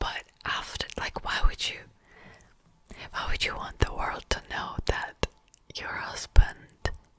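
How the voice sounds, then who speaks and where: Whispering at a very slow pace, a woman leaves long, frequent pauses and swings widely in loudness, with noticeable background noise behind her. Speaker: ASMR youtuber. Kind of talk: casual commentary ramble. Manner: whispered.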